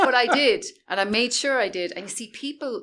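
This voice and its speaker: At a moderate pace, a woman speaks with an Irish accent in a high pitch. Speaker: social media expert. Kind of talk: interview. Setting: in-person interview.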